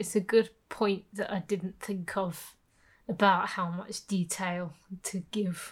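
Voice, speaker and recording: The recording is very clean with a silent background. A woman speaks at a medium pitch, somewhat breathy, with monotone, flat intonation. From England, Birmingham. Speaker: podcast co-host. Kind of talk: casual chat.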